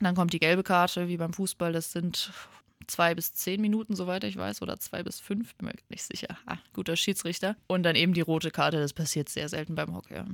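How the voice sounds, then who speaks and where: A woman's ordinary speaking voice, fairly low in pitch with ordinary pitch variation, at a fairly quick pace on a very clean recording with a silent background. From Germany, Limburg (Hesse). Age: 20s. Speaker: hockey player and team captain. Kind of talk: radio interview.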